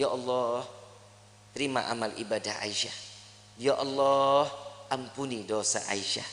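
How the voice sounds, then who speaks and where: Over noticeable background noise, a man speaks in a raised, projected voice at a fairly slow pace. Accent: Jakarta. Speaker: Islamic preacher. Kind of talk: religious sermon. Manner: casual, humorous.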